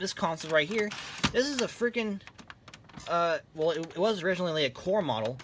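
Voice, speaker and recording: Noticeable background noise runs under this recording. A man talks at a fairly quick pace with a high pitch and lively intonation. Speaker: YouTuber and console collector. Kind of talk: casual show-and-tell monologue.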